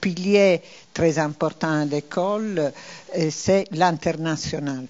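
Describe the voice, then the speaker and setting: Intonation stays fairly even as the speech goes along at a very slow pace. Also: woman. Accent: non-native. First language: not French (speaking French). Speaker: university vice-president. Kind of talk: institutional presentation. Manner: hesitant, frequent fillers.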